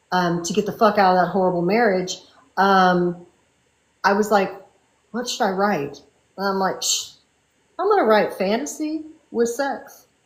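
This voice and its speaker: In a room with audible echo, a woman speaks at a moderate pace in a medium pitch. Her intonation is lively, and her pauses are long and frequent. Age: 60s. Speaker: fantasy and romance author. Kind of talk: casual interview chat.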